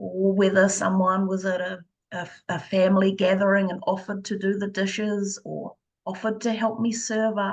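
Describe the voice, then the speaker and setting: Soft-spoken, the woman talks at a medium pitch. Her intonation is monotone and flat. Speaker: energy healer; mother. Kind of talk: interview. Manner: slow.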